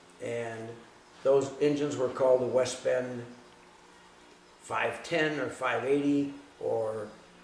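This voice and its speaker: Speaking with an Upper Midwest US accent, a man keeps a fairly slow pace at a medium pitch with fairly even intonation. The recording has audible room echo and noticeable background noise. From Southeast Wisconsin. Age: 60s. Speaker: hot rod shop owner, former racer. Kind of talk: interview monologue. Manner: halting, with repetitions.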